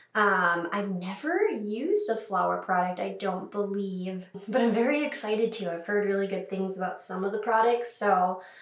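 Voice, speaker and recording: A woman talks at a moderate pace with fairly even intonation and hardly any pauses. Noticeable background noise and audible room echo surround her voice. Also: medium pitch for a woman. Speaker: makeup youtuber. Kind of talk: tutorial. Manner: casual, chatty.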